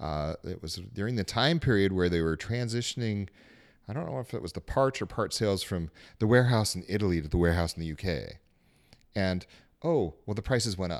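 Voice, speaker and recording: A man with an American accent and an unremarkable speaking voice talks at a fairly quick pace and fairly low pitch, with lively intonation. The recording is very clean, with a silent background. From Salt Lake City, Utah. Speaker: attorney. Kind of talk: casual chat.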